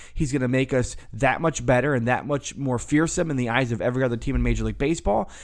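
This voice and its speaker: A man with an American accent at a very fast pace, with vocal fry, very even loudness, fairly even intonation and hardly any pauses. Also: medium pitch for a man. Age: 30s. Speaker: sports podcast host. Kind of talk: solo sports podcast monologue. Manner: casual, conversational.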